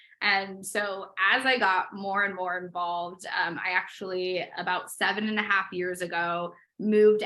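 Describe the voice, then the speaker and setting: A woman speaks at a moderate pace in a medium pitch with a bright, sharp tone. Her intonation is flat and monotone, and the recording is very clean with a silent background. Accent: slight Midwestern. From US Midwest, Chicago. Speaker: interior designer. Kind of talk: interview.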